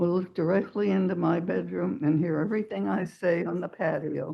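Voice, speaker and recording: Vocal fry with ordinary pitch variation and a moderate pace. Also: woman. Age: 80s+. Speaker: neighbor speaking at public hearing. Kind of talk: public comment at council meeting. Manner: halting.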